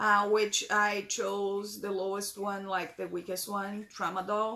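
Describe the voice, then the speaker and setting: A woman with a Brazilian Portuguese accent, fairly high in pitch, bright and sharp in tone, at a very slow pace. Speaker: vlogger, breast cancer patient. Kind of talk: casual Q&A vlog. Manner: halting, many fillers and repeats.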